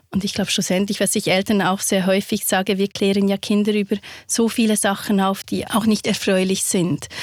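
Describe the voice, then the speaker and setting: A woman's ordinary speaking voice, medium in pitch, with fairly even intonation, a moderate pace and a dry, close sound with no echo. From Switzerland. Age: 40s. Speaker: victim support counsellor and author. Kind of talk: interview.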